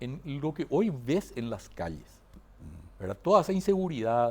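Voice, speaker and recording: A man speaks with a Paraguayan accent, his pitch swinging very widely. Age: 60s. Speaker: accountant and university lecturer. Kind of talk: interview conversation. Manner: halting.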